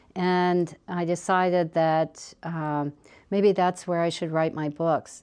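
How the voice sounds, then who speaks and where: A woman with a Midwestern US accent speaks at a fairly low pitch against a quiet background. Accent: US Midwest. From Ohio, Dayton. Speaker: author. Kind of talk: interview; reading aloud. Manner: animated.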